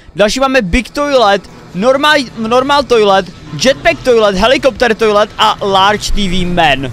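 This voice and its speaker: Faint music plays in the background as a man talks at a fairly slow pace. The sound is dry, with no echo. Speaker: reaction content creator. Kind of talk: reaction commentary. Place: home room.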